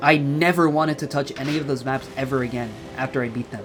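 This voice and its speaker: A man's voice with music in the background. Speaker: gaming YouTuber. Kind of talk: casual talk to camera.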